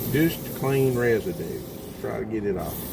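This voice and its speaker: Over noticeable background noise and audible room echo, a man with a medium pitch speaks with lively intonation. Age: 60s. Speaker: small engine mechanic. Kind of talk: tutorial. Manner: casual, conversational.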